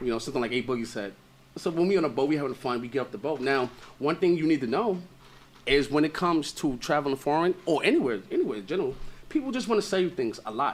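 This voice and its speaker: A man with a New York accent, fairly high-pitched, with lively intonation and a very fast pace. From Brooklyn, New York (Brownsville). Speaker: author and content creator. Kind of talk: casual interview chat. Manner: animated.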